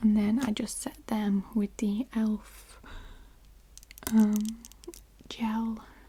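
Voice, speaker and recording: A woman whispers, soft-spoken. Her voice is somewhat breathy. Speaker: ASMR creator. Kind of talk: casual talk to camera. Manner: whispered, soft-spoken.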